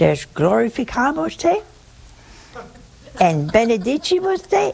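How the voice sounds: In a put-on character voice, a woman speaks at a fairly slow pace with fairly high pitch, big pitch swings, vocal fry, a slightly mellow tone and a slightly husky edge.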